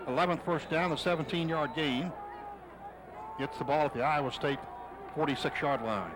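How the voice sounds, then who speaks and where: Amid noticeable background noise, a man with a fairly high pitch and ordinary pitch variation talks at very even loudness, leaving long, frequent pauses. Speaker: radio play-by-play announcer. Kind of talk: live radio football play-by-play. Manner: fast, excited.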